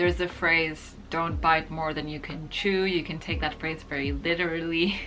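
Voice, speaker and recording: A woman's very deep, low voice with fairly even intonation at a moderate pace and hardly any pauses, with audible room echo and music in the background. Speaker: lifestyle and beauty vlogger. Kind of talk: casual advice vlog.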